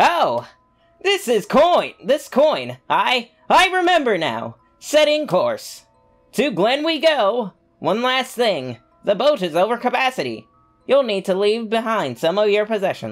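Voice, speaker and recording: A put-on character voice, fairly high in pitch and enthusiastic in tone, at a fairly slow pace with faint music in the background. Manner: enthusiastic, exclamatory, formal robotic.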